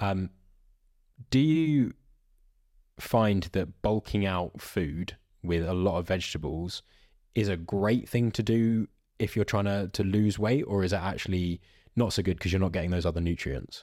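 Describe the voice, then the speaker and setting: A man's fairly low, dark, mellow voice with a British accent, ordinary pitch variation, a moderate pace and long, frequent pauses, in a very clean recording with a silent background. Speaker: podcast host. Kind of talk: casual chat.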